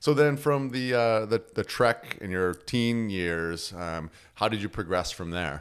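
Captured in a very clean recording with a silent background, a man with an ordinary speaking voice talks at a fairly slow pace and fairly low pitch with lively intonation. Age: 40s. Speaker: podcast host. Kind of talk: casual interview. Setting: home studio.

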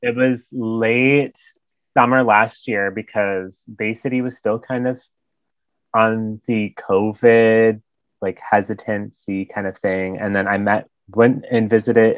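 A man with an American accent speaks fairly slowly in an unremarkable speaking voice, medium in pitch with fairly even intonation. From US Midwest, Michigan. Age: 20s. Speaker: recent graduate heading to grad school. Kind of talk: casual chat. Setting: video call.

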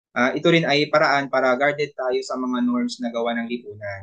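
Speaking at medium pitch and a moderate pace, the man uses an ordinary speaking voice. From Philippines, rural province. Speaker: elementary teacher. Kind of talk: casual chat.

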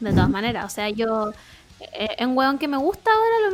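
A woman with a Chilean accent, very fast, with very wide pitch swings and noticeable background noise. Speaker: podcast co-host. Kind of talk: casual chat.

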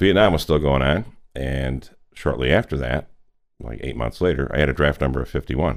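At a fairly quick pace, a man with a very deep, low pitch talks with ordinary pitch variation and vocal fry. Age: 60s. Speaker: real estate business leader. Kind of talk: interview.

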